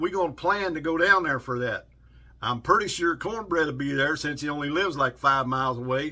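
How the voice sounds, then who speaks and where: A man with a Southern US accent speaks in a bright, sharp tone with fairly high pitch and ordinary pitch variation. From South Carolina and Kentucky. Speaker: outdoors and knife YouTuber. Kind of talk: casual vlog, knife review. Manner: animated.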